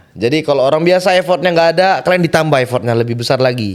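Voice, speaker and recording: A man speaks with ordinary pitch variation. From Binjai, North Sumatra, Indonesia. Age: 20s. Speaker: athlete. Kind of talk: podcast interview.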